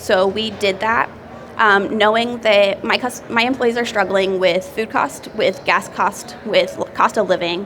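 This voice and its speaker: A woman with an American accent speaks at a fairly slow pace and with fairly even intonation over noticeable background noise. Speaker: restaurant owner. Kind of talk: seminar talk.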